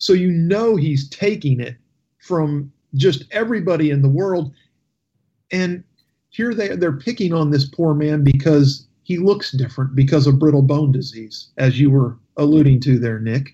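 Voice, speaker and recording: A man with a fairly high pitch and a dark, mellow tone speaks at a moderate pace, sounding somewhat breathy. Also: lively intonation. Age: 40s. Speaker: radio talk show host. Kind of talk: radio talk show.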